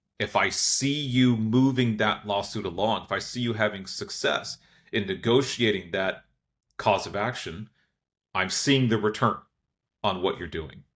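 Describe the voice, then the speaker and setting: An unremarkable speaking voice from a man with an American accent, medium pitch, and fairly slow pace, on a very clean recording with a silent background. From United States. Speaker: lawyer. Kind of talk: podcast interview.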